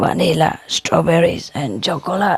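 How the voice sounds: Raspy and hoarse, a put-on character voice at a middle pitch goes at a moderate pace.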